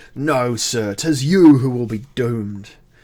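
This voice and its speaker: A put-on character voice, shrill and squeaky. It moves at a fairly slow pace. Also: man, medium pitch for a man. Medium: read story. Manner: agitated, undignified.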